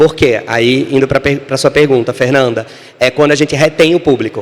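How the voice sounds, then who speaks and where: Speaking at a fairly quick pace, a man with fairly high pitch uses an animated tone. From Brazil, Natal (Northeast). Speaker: screenwriter and author. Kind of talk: panel talk.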